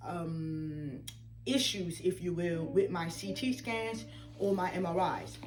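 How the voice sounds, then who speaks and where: Amid noticeable background noise and audible room echo, a woman speaks at a medium pitch with ordinary pitch variation. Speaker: patient sharing medical journey. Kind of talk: interview. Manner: halting.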